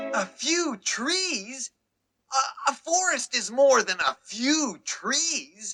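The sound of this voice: A cartoonish character voice is pitched high. It moves at a very slow pace.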